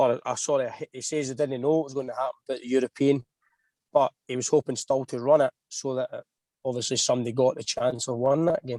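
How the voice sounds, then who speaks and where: Over a dry, close sound with no echo, a man with a Scottish accent speaks at a very fast pace in a dark, mellow tone, his intonation monotone and flat and his loudness swinging widely. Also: medium pitch for a man. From Scotland. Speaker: racing driver. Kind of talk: podcast interview.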